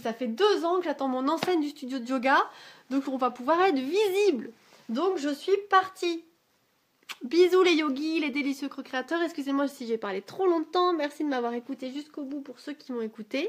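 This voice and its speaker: A woman's high-pitched, animated voice with lively intonation and big swings in loudness. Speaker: yoga teacher. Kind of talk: casual vlog monologue. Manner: fast.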